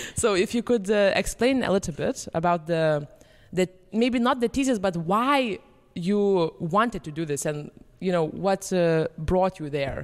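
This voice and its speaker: Speaking fairly slowly with a Lithuanian accent, a woman of medium pitch uses lively intonation. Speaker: podcast host and pianist. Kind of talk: casual chat.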